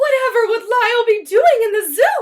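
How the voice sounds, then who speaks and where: A woman's squeaky put-on character voice at extremely high pitch. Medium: read story. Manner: anxious, doting.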